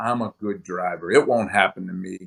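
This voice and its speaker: A man's unremarkable speaking voice at a moderate pace, with fairly even intonation and a dry, close sound with no echo, on a very clean recording over a silent background. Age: 60s. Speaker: keynote speaker on fleet safety. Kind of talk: podcast interview.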